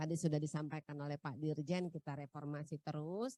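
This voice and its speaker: A woman speaks with a North Sumatran accent. The sound is dry and close, with no echo. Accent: Batak-flavoured Indonesian. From North Sumatra, Pematangsiantar. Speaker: tax office head. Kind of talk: opening speech. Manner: hesitant, many fillers.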